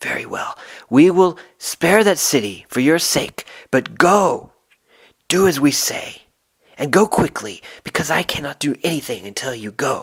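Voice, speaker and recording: This man uses a put-on character voice at a fairly high pitch. He keeps a moderate pace. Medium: read story. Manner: commanding, urgent.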